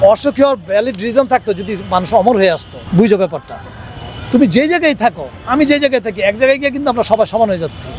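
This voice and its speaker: A man with a high pitch and lively intonation speaks over music in the background. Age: 50s. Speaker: interviewee sharing life advice. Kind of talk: interview.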